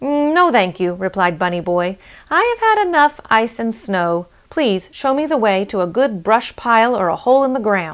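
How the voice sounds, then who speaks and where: A female-sounding, put-on character voice sits at a fairly high pitch. It moves at a moderate pace. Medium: read story. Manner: small, timid.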